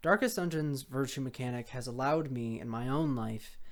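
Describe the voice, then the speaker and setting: A woman is speaking. Her pace is fairly quick. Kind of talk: unscripted video essay rant. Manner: sincere, gushy, stutters.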